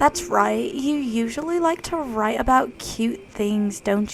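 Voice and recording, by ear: Lively intonation colors the delivery. It is read aloud in a natural voice.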